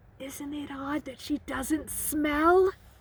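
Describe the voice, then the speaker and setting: A woman puts on a character voice, pitched high. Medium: read story. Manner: serious.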